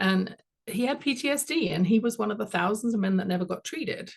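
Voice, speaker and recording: There is an English accent. The voice is somewhat breathy. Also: woman. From London, England. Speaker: executive coach and author. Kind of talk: interview.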